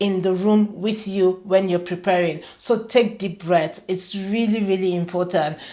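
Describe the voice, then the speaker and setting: Speaking at a fairly slow pace, a woman with a medium-pitched voice keeps a fairly even intonation against noticeable background noise. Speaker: career coach and show host. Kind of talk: talking-head advice video.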